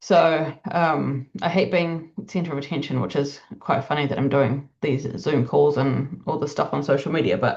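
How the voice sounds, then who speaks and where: Vocal fry, ordinary pitch variation and a moderate pace with hardly any pauses. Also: woman, very deep, low pitch for a woman. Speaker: EFT tapping coach. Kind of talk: casual live session talk. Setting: video call.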